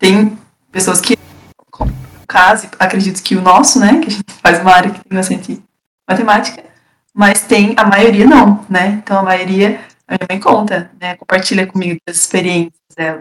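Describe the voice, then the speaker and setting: Somewhat breathy, a woman at a medium pitch talks at a moderate pace with fairly even intonation. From Paraná, Brazil (Castro). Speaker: engineering student. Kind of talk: casual chat.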